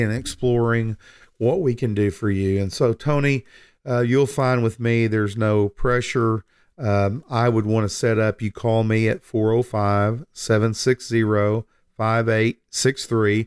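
At a fairly slow pace, a man talks in a plain, everyday voice at a medium pitch, with ordinary pitch variation and very even loudness. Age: 60s. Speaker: financial advisor and radio host. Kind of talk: casual chat.

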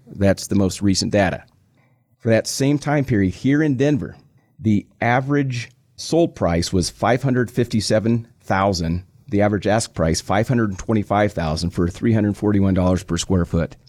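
A plain, everyday voice from a man with an American accent, fairly low pitch, lively intonation and a moderate pace, in a very clean recording with a silent background. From Nebraska. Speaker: financial advisor. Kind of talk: radio talk show. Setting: studio.

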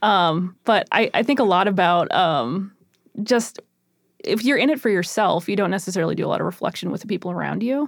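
A woman at medium pitch with vocal fry, lively intonation and a fairly quick pace, in a very clean recording over a silent background. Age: 30s. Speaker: teacher and podcast co-host. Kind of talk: casual chat.

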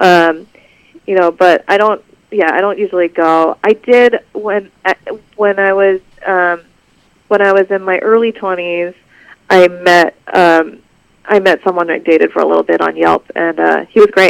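A woman with an American accent speaks at a moderate pace and medium pitch, with fairly even intonation, long, frequent pauses and a dry, close sound with no echo. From Los Angeles, US. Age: 30s. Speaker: novelist. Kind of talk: interview. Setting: phone call.

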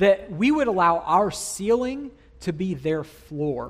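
A man talks with lively intonation. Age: 30s. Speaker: student ministries pastor. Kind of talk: sermon. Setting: church.

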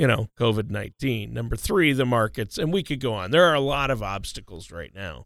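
A man talks at a fairly quick pace with hardly any pauses, in a medium pitch with vocal fry. His intonation is lively and his tone playful. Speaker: co-host. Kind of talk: radio show discussion. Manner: joking, playful.

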